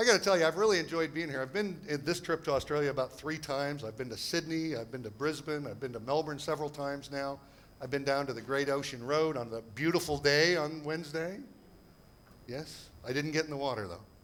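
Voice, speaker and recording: Speaking very fast with an American accent, a man has a fairly high pitch and ordinary pitch variation. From United States. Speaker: property investment seminar speaker. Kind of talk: seminar presentation. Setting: stage with audience. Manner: animated.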